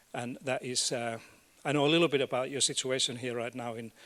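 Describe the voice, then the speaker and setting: Recorded very cleanly against a silent background, a man with a Finnish accent speaks at a medium pitch and a fairly quick pace. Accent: non-native English, Finnish. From Finland. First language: Finnish and Swedish. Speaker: education academic and policy expert. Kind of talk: conference keynote talk. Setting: stage with audience. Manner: halting, with fillers and repeats.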